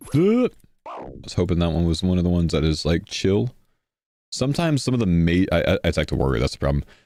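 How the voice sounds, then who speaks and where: A man with an American accent talks at a very fast pace, his very deep, low voice full of lively intonation. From Texas, Houston. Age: 30s. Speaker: video game streamer. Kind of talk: live gaming stream chat. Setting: live stream with group voice chat.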